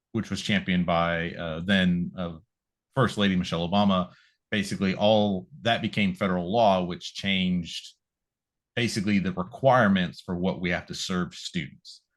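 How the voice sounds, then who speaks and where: Against a quiet background, a man with an American accent speaks in a very deep, low pitch. His intonation is fairly even and his pace moderate. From California. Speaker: school nutrition program director. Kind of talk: interview. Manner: polite, formal.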